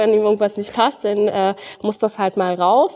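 A woman's flat, monotone delivery at a moderate pace. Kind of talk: interview answer. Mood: warm, smiling. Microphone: lapel.

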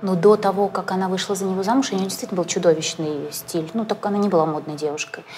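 Over light background noise, a woman talks at a very fast pace with hardly any pauses. Her pitch is medium, with ordinary pitch variation. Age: young. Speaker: interviewer and blogger; interviewer, blogger. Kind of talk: interview.

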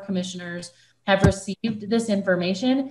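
Over a quiet background, a woman speaks at a moderate pace in a somewhat breathy voice with fairly even intonation. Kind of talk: meeting chairing remarks. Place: home room. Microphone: video call.

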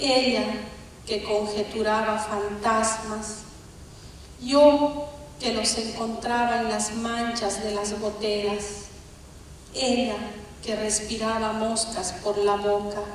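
With strong room echo and light background noise, a woman speaks at a very slow pace in monotone, flat intonation, taking long, frequent pauses. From Bolivia. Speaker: poet. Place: stage.

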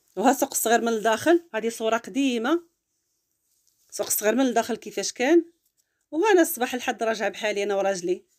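Talking at a moderate pace, a woman with a plain, everyday voice uses lively intonation at a fairly high pitch. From Morocco, Larache (northern Morocco). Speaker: cooking and lifestyle vlogger. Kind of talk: travel vlog narration.

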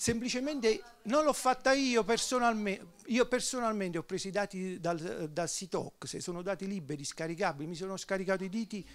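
At a fairly quick pace, a man with a high pitch speaks in a Neapolitan accent. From southern Italy, Naples; southern Italy. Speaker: economist; speaker. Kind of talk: panel discussion. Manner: halting. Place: hall. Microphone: handheld.

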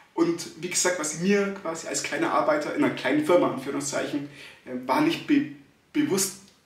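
A man with a high voice swings his pitch very widely, with audible room echo around him. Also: moderate pace. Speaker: stutterer. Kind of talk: casual vlog talk to camera. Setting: empty echoing room. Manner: stuttering, frequent fillers. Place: empty room. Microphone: phone near.

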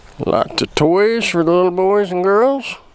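A very slow male voice, dry with no echo, over noticeable background noise. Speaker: camping vlogger. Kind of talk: casual vlog chat. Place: open country. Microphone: phone near.

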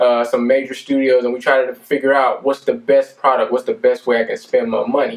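Monotone, flat intonation marks a man's speech. Behind him the background stays quiet. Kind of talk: casual vlog chat. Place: studio. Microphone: camera far.

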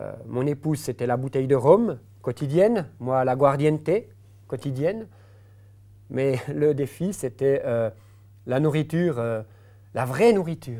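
Against a quiet background, the speaker uses a dark, mellow tone and lively intonation at a fairly slow pace with long, frequent pauses. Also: man, fairly high pitch for a man. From Switzerland, Jura. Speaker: pastor. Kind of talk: testimony. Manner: halting, many hesitations. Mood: calm, reflective storytelling. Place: studio. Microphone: lapel.

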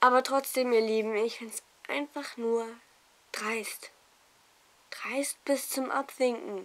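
At a very slow pace full of long, frequent pauses, a woman speaks in a high pitch with big swings in loudness. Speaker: vlogger. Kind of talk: casual vlog monologue. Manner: animated. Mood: indignant, serious. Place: home room. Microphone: phone near.

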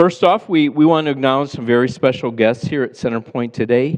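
Ordinary pitch variation from a man speaking. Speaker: pastor. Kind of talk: sermon. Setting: church. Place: church.

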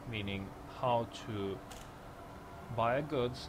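Over music in the background, a man talks with fairly even intonation at a fairly low pitch. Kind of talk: game tutorial narration. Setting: home recording, poor microphone. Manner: hesitant, many filler sounds.

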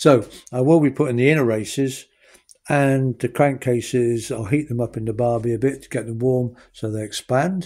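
Moderate pace and fairly even intonation from a man at medium pitch with a dark, mellow tone

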